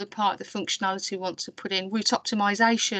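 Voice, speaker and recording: Recorded with a dry, close sound with no echo and a quiet background, a woman speaks with a Birmingham accent. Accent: Brummie. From Birmingham, England. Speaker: council IT programme staff presenting. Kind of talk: webinar presentation. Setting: online webinar.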